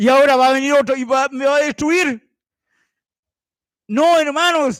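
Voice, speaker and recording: An animated man speaks at an extremely high pitch. His pace is fairly slow. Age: 60s. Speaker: lay preacher. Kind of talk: sermon.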